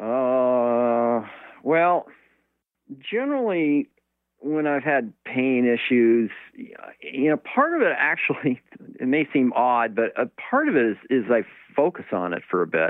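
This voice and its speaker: A man's medium-pitched voice in an American accent, very slow, with lively intonation. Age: 60s. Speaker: sailor and author, ocean survivor. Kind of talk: interview storytelling. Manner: halting, many fillers.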